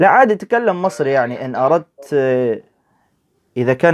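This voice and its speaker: A man talks at a moderate pace with lively intonation, his voice dry and close with no echo against a quiet background. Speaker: religious debater. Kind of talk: debate. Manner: Modern Standard Arabic.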